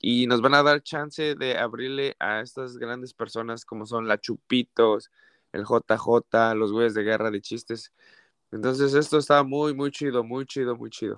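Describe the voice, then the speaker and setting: With a normal speaking voice, a man talks at a fairly slow pace and medium pitch, his intonation fairly even, in a dry, close sound with no echo against a quiet background. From Mexico City. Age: 30s. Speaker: comedian. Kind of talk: casual interview.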